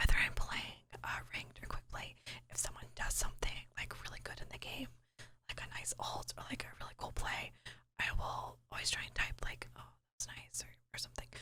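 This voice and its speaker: Someone whispers. The pace is fairly quick. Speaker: ASMR content creator and gamer. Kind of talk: casual voiceover commentary over gameplay. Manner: soft, whispering.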